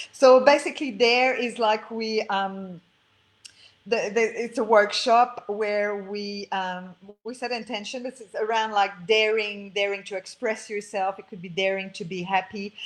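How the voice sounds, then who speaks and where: A woman at a fairly high pitch with fairly even intonation, a fairly slow pace, and big swings in loudness. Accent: Quebec. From Quebec, French Canada. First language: French. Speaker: spiritual coach and author. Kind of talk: interview. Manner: halting, many fillers.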